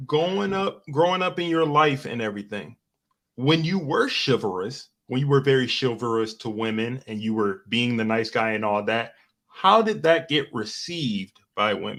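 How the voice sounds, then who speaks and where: In an ordinary speaking voice, a man talks at a moderate pace with lively intonation and a medium pitch against a quiet background. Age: 30s. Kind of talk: casual chat. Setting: live stream.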